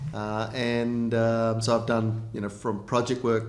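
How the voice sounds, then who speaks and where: A man with an Australian accent speaks at a moderate pace and medium pitch, with audible room echo. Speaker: mining company executive. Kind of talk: interview. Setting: videotaped interview in Frankfurt. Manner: halting, many fillers.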